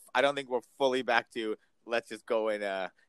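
A man talks at a fairly quick pace with fairly even intonation, in a dry, close sound without echo. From Iran, moved to US at age five. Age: 40s. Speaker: aesthetic physician. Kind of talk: casual interview.

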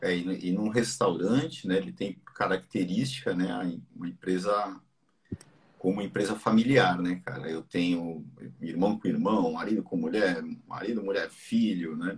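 Using a fairly low pitch with ordinary pitch variation, a man speaks at a moderate pace. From Brazil, mixed (Ceará, Santos). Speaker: business podcast host. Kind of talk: casual live business talk. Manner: animated.

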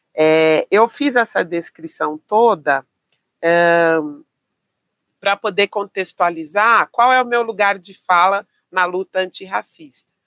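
The speech moves at a very slow pace, with long, frequent pauses and ordinary pitch variation. The sound is dry and close, with no echo. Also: woman, medium pitch for a woman, big swings in loudness. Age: 50s. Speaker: physical education teacher. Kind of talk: interview conversation.

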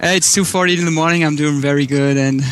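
The pace is moderate and the pitch variation ordinary, with noticeable background noise behind the speech. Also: man. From Germany. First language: German. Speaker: caller. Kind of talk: casual chat.

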